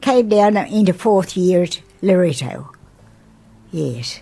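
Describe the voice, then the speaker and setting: A woman talks with an Australian accent. Her pitch is medium, with lively intonation. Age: 80s+. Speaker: grandmother. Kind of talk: interview answer.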